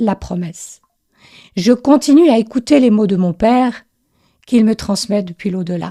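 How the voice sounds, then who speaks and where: A woman's dark, mellow voice moves through ordinary pitch variation. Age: 60s. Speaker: spiritual podcaster and intuitive writing coach. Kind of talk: podcast monologue. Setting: voice note recording.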